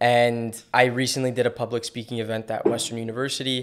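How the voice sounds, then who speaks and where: The man's voice sits at medium pitch, delivered at a moderate pace in a monotone, flat intonation. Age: 20s. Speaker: real estate agent. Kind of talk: podcast interview.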